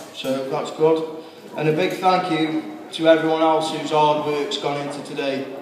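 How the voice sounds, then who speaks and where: A man talks at a moderate pace with fairly even intonation. Audible room echo and light background noise are present. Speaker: best man. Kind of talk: best man wedding speech. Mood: warm, humorous. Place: hall. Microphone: camera far.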